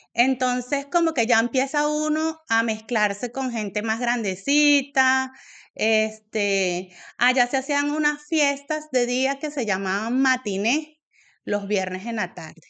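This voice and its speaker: A woman with a Venezuelan accent speaks at a very slow pace against a quiet background. Her high-pitched voice has a bright, sharp tone and ordinary pitch variation. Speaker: AA member sharing story. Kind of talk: testimony. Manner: hesitant, many fillers.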